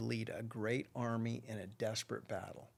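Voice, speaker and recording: Over a very clean recording with a silent background, a man of medium pitch talks at a fairly slow pace in an ordinary speaking voice. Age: 60s. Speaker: rancher and businessman. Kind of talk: podcast interview.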